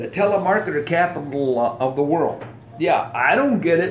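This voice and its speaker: Very wide pitch swings in an American accent, with audible room echo and noticeable background noise. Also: man. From United States. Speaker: podcast host, veteran. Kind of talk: casual podcast monologue. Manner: animated.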